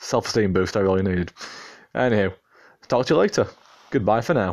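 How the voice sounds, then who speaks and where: Fairly low pitch from a man at a fairly quick pace, with long, frequent pauses, ordinary pitch variation and very even loudness. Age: 20s. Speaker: podcast host. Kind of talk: casual monologue.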